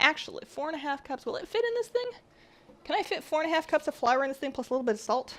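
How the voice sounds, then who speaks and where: The speech runs at a very fast pace. Its pitch swings very widely. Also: woman, high pitch for a woman. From Canada. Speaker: baking streamer. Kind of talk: live-stream baking chat. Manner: animated.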